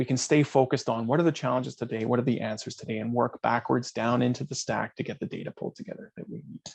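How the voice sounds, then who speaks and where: At a very fast pace, a man speaks at a medium pitch with ordinary pitch variation and vocal fry. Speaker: data management consultant. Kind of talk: webinar presentation with Q&A. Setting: online webinar.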